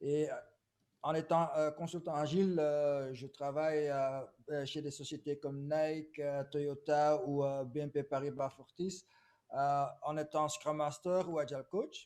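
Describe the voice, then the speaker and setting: A man speaks at a very slow pace with a fairly high pitch. His intonation is monotone and flat. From Belgium, Flemish. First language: Dutch (speaking French). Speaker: agile consultant. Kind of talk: webinar presentation. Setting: video call webinar.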